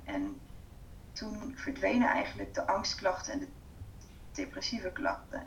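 A fairly slow-paced woman's voice amid noticeable background noise and audible room echo. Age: 30s. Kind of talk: interview.

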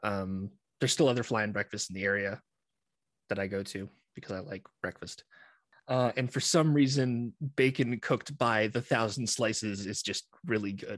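A man with a Canadian accent speaks at a moderate pace in an ordinary speaking voice, fairly low in pitch, with ordinary pitch variation. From Eastern Ontario, Canada. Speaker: aircraft maintenance engineer and podcast producer. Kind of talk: interview conversation.

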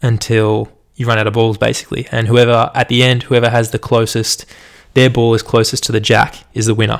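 A man with an Australian accent at a fairly quick pace, medium pitch and monotone, flat intonation. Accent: general Australian. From Australia, Melbourne. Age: 20s. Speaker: podcaster and university student. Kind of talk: solo podcast monologue, casual. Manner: nervous at first, casual, fillers.

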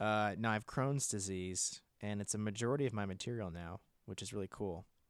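A man with an American accent and a plain, everyday voice at a fairly low pitch, talking at a fairly quick pace, in a very clean, dry, close recording with a silent background and no echo. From Washington state, US. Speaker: comedian and writer. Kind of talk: casual chat.

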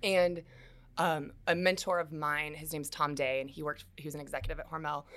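At a fairly quick pace, a woman talks. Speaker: loan officer. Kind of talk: interview answers. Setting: office studio. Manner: fast.

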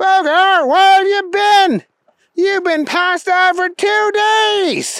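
This put-on character voice is squeaky and extremely high-pitched, delivered at a very slow pace. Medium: read story.

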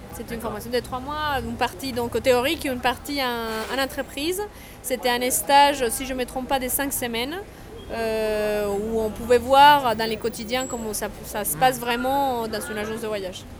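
A woman with a Spanish accent speaks at a high pitch. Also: ordinary pitch variation, moderate pace. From Colombia. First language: Spanish (speaking French). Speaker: travel agency founder. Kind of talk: interview. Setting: café.

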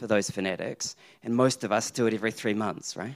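A man with a New Zealand accent, medium-pitched, at a fairly quick pace. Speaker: accounting professor. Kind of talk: live panel discussion. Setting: stage with audience.

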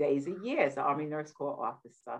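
A woman speaks with a New York accent. Her pitch is very deep and low. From New York, Queens. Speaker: war veteran and wellness coach. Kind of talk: interview.

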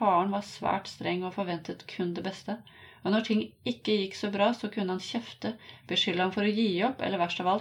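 The clip features an unforced reading voice with fairly even intonation.

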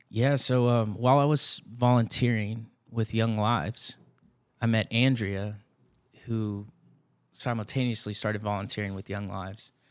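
A man with a Texan accent speaks at a medium pitch and a moderate pace, his fairly even intonation broken by long, frequent pauses on a very clean recording with a silent background. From Texas Hill Country (Blanco). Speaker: youth ministry director. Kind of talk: casual interview chat.

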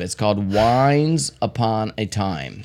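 In a normal speaking voice, a man of medium pitch speaks at a fairly slow pace with lively intonation. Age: 50s. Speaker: podcast co-host. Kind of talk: casual chat.

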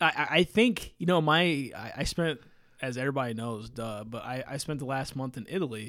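Speaking with an American accent, a man talks at a fairly quick pace. His pitch is medium and varies in an ordinary way. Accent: regional American accent noticed abroad. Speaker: motorsport podcast co-host. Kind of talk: casual chat.

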